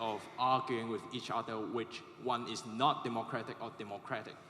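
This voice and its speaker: There is noticeable background noise behind the speaker. A man talks at a medium pitch. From Hong Kong. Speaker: student audience member asking a question. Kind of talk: audience question at panel.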